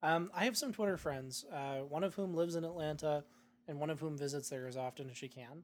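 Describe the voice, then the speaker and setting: This man has a fairly high pitch and a Canadian accent. He uses a normal speaking voice with ordinary pitch variation at a fairly quick pace. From Canada, Saanich near Victoria, British Columbia. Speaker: podcast co-host. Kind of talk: casual chat.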